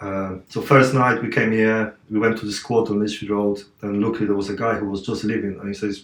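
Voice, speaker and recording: In a Polish accent, a man speaks at a moderate pace with a fairly low pitch and monotone, flat intonation. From Poland, Katowice. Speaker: martial artist and athlete. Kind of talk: podcast interview. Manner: halting.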